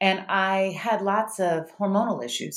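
A woman with a Mississippi accent. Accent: Southern US (Mississippi). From US South, Starkville, Mississippi. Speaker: doctor. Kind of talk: interview conversation.

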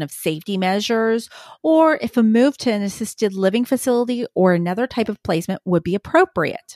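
In a very clean recording with a silent background, a woman with a plain, everyday voice speaks at a fairly quick pace with lively intonation. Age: 30s. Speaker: professional guardian and geriatric care manager. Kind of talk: interview.

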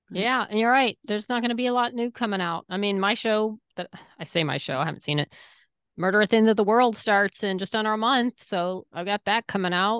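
Speaking with a plain, everyday voice, a woman moves at a fairly quick pace with lively intonation and a fairly high pitch. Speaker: podcast co-host. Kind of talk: casual chat.

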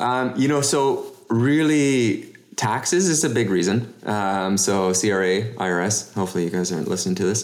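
A man with a Canadian accent speaks at a fairly low pitch and very even loudness, with audible room echo. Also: lively intonation, moderate pace. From Canada (Toronto area). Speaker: real estate investor. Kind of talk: interview.

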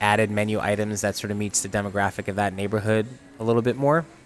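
Over music in the background, a man with an American accent talks very fast at a fairly low pitch. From upstate New York (Utica). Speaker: chef and restaurant owner. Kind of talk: casual interview.

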